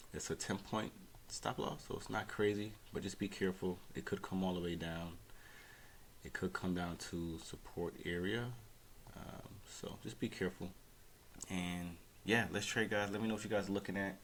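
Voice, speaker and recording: Quiet and very deep, this man's voice keeps a fairly even intonation and leaves long, frequent pauses. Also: moderate pace. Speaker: day trader. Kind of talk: live trading commentary. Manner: quiet, speaking low; casual, hesitant.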